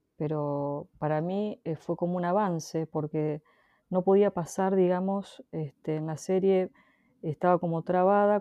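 A woman speaks at a fairly slow pace. Her fairly low pitch carries fairly even intonation. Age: 40s. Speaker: photographer. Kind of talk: interview. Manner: halting.

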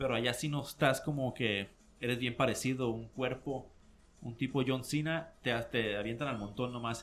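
A man speaks at a medium pitch. His is a normal speaking voice. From Mexico, Mexicali (Baja California). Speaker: combat sports commentator. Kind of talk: casual chat. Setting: studio.

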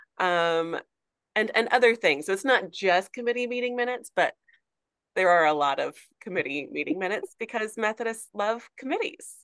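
In an American accent, a woman with a fairly high pitch uses an ordinary speaking voice, speaking at a moderate pace with lively intonation. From Arkansas, US South. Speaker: church historian and archivist, former professor. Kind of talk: casual interview chat.

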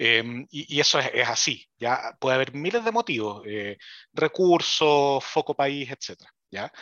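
With a Chilean accent, this man talks at a fairly slow pace in a fairly high voice that swings very widely in pitch. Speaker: engineering professor. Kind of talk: casual chat. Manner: halting.

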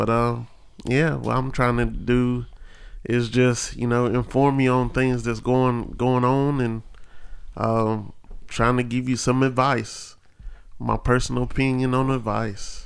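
With an American accent, a man talks at a fairly slow pace and a medium pitch. His intonation is monotone and flat. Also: very even loudness. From central North Carolina (Asheboro area). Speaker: podcast co-host, postal worker and musician. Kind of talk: casual chat.

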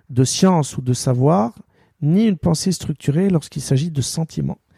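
In an Arabic accent, a man speaks fairly slowly at a fairly high pitch, his tone dark, mellow and somewhat breathy, with lively intonation and a dry, close sound with no echo. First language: Arabic (speaking French). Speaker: sports journalist. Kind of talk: interview.

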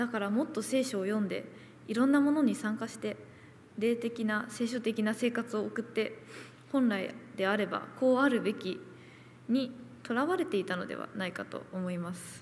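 A woman at a moderate pace, fairly high in pitch, with ordinary pitch variation and some vocal fry. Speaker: nurse. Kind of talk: testimony.

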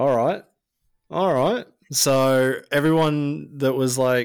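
In an Australian accent, a man speaks at medium pitch. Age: 30s. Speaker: podcast host. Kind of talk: casual interview.

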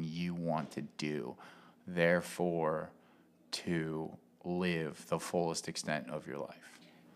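A man's very deep, low voice with an American accent, at a very slow pace, on a very clean recording with a silent background. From Cincinnati, Ohio. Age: 30s. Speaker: punk musician and show booker. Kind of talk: casual chat.

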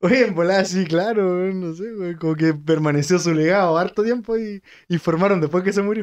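A man's high-pitched voice with a Chilean accent. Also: ordinary pitch variation, fairly quick pace. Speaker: podcast co-host. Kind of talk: casual chat.

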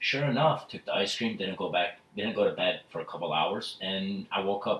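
A man talks at a moderate pace. Noticeable background noise sits behind his voice. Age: 20s. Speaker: salesperson. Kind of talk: casual chat.

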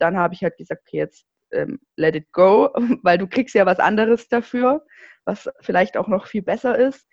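A plain, everyday voice moves at a moderate pace with ordinary pitch variation. The sound is dry and close, with no echo. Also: woman, medium pitch for a woman. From southwest Germany, near Stuttgart. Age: 20s. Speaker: diet recovery coach. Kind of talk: interview.

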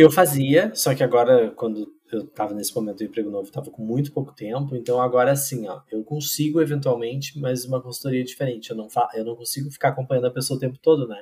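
A man's medium-pitched voice at a very fast pace, hardly any pauses, ordinary pitch variation, and big swings in loudness. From Rio Grande do Sul, Brazil (interior, Pantano Grande). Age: 40s. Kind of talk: casual podcast interview. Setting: video call recording at home.

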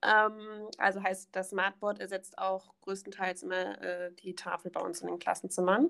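The speech moves at a fairly slow pace in a monotone, flat intonation, with hardly any pauses. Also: woman, medium pitch for a woman. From Germany, Rhineland near Bonn (Königswinter). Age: 20s. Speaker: trainee primary school teacher. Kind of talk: podcast interview.

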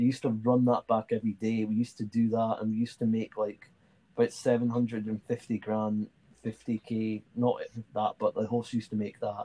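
A man with a medium pitch, a dark, mellow tone and monotone, flat intonation at a fairly quick pace, in a dry, close sound with no echo. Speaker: podcast host. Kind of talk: casual chat.

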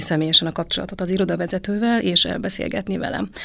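A woman is speaking. Her pace is very fast. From Transylvania, Romania. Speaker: travel group participant. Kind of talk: casual chat.

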